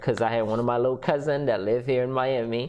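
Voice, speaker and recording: With a slight Haitian accent, a man speaks at medium pitch with fairly even intonation. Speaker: entrepreneur and business coach. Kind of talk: podcast interview.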